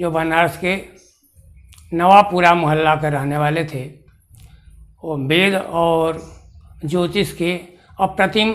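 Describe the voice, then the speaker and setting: This man's voice sits at a high pitch. He speaks at a very slow pace, with long, frequent pauses. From Bihar, Bhojpur district; Bihar. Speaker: retired astrology teacher, Sanskrit scholar. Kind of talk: autobiographical account. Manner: slow, halting with many pauses. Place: home room.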